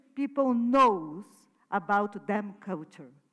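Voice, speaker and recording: This woman speaks in a Portuguese accent with lively intonation. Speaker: artist. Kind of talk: conference talk. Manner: halting.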